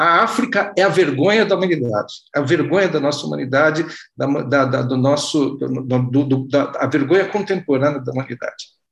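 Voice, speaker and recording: A man talks at a moderate speed, his fairly high voice carrying lively intonation. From Brazil. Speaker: reader asking questions. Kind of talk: audience question. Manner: halting.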